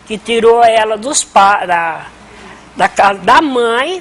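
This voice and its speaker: A woman's fairly high voice, with ordinary rises and falls in pitch, comes through noticeable background noise. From Brazil, Rio Claro, São Paulo state. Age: 60s. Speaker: community elder storyteller. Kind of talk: oral history interview. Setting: conversation circle with audience.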